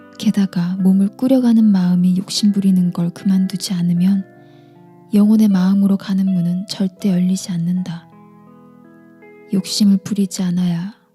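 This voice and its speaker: Over music in the background, a woman speaks in a calm, soothing tone at medium pitch and a fairly slow pace, with monotone, flat intonation. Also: long, frequent pauses. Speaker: audiobook reader / book YouTuber. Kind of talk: ASMR book reading, bedtime. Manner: soft-spoken, calm, soothing.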